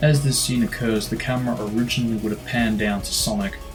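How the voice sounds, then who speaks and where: A man at a very fast pace with music in the background. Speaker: gaming video commentator. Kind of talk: video game commentary narration.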